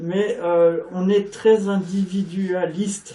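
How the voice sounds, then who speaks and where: The man speaks at a high pitch. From France. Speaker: native-speaker guest at a language school. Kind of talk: casual interview chat. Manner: hesitant, many fillers.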